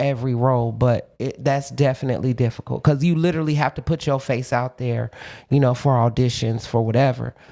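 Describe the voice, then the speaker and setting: The recording is very clean with a silent background, carrying a woman's dark, mellow tone and American accent. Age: 40s. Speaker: actress. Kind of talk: podcast interview.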